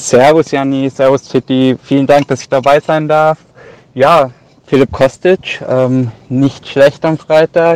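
With a fairly high pitch and monotone, flat intonation, a man speaks at a very slow pace in a dry, close sound with no echo. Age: 20s. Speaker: listener and fantasy football player. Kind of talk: recorded voice message.

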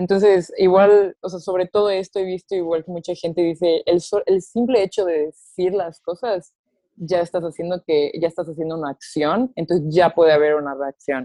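A woman with a normal speaking voice talks at a moderate pace and a fairly low pitch, with hardly any pauses. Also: ordinary pitch variation. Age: 20s. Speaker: TikTok creator and babysitter. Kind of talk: casual chat.

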